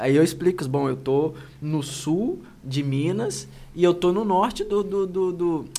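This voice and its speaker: A high-pitched male voice with ordinary pitch variation at a fairly slow pace, over noticeable background noise. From Brazil, Itaperuna (Rio de Janeiro state). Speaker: human rights official and lawyer. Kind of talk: interview conversation. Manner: hesitant, frequent fillers.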